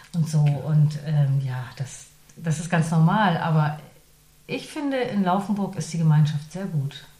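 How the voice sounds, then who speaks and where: Pitch moves up and down in an ordinary way as the words come rather slowly. The room gives off a clear echo. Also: woman, very deep, low pitch for a woman. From northern Germany. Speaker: radio presenter and voice artist. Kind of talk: interview. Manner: hesitant with frequent fillers.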